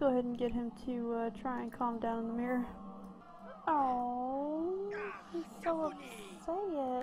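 Music plays in the background. A woman with a high pitch speaks at a fairly slow pace. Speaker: gameplay commentator. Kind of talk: casual gameplay commentary.

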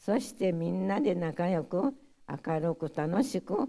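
Dark, mellow tone in a Hiroshima accent at a very slow pace, over a quiet background. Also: woman. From Hiroshima, Japan; Japan. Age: 90s. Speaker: atomic bomb survivor. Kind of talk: testimony. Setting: audience of school pupils. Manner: halting. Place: hall. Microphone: podium.

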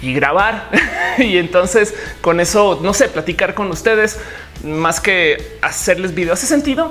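The pace is fairly slow. Faint music plays in the background. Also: woman. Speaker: vlogger. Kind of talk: casual vlog chat. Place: home room.

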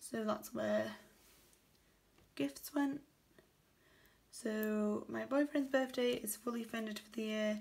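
In a British accent, the speaker sounds somewhat breathy, going very slowly with long, frequent pauses, ordinary pitch variation and big swings in loudness. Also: woman, fairly high pitch for a woman. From UK. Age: 20s. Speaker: budgeting vlogger. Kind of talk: casual tutorial, counting cash. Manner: low energy. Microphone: phone near.

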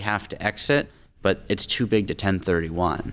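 A man talks with an American accent. His pitch is fairly low. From Tacoma, Washington, US Pacific Northwest. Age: 20s. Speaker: real estate investor. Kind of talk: interview. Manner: fluent, confident. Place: studio. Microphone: studio mic.

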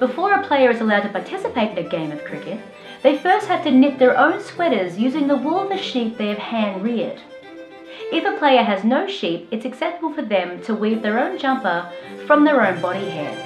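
A woman talks fairly quickly in an Australian accent, her high pitch swinging very widely. Clear music plays in the background. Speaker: comedian. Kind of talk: comedic spoof explainer to camera. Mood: dry mock-serious humour. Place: home room.

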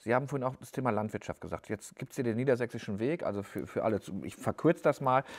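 Against a quiet background, a man talks at a very fast pace with big swings in loudness. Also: ordinary pitch variation. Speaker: newspaper editor-in-chief and podcast host; newspaper editor-in-chief, podcast host. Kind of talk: interview. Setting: newsroom studio. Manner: casual. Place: studio. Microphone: lapel.

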